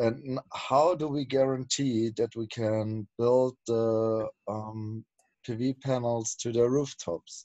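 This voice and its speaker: In a German accent, a man talks at a very slow pace with fairly even intonation. The background is quiet and the sound is dry with no echo. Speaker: project team member. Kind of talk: casual chat. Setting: video call. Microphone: video call.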